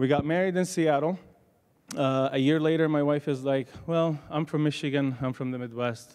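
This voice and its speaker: A man's fairly high voice with a slight Arabic accent, fairly quick in pace, with ordinary pitch variation. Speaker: pharmacy professor. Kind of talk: panel talk.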